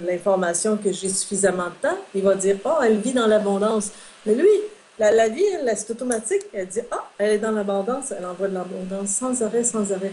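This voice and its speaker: Noticeable background noise accompanies a woman speaking at a medium pitch with fairly even intonation. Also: fairly quick pace. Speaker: metaphysician and relationship consultant. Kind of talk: interview. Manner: hesitant fillers.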